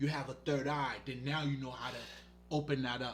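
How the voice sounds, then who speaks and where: Speaking at a moderate pace, a man has a non-native accent and a fairly high pitch. His tone is animated. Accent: foreign. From Haiti. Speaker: spiritual healer. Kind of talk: casual monologue livestream. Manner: casual, profane, animated.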